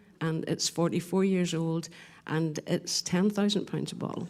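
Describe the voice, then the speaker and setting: This woman talks with a Northern Irish accent. Her tone is dark and mellow. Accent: Northern Irish (Ulster). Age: 60s. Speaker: distillery tour guide. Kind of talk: casual chat.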